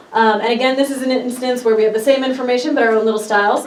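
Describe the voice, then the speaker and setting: A woman talks in a high voice. Room echo is audible and background noise is noticeable. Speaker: park ranger. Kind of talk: presentation. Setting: workshop presentation. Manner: fast.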